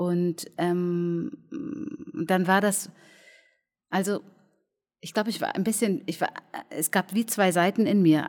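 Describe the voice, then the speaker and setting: At a very slow pace, a woman talks at a medium pitch with ordinary pitch variation, on a very clean recording with a silent background. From Germany, near Cologne. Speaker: cabaret artist and clown. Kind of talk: casual interview. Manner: reserved; halting.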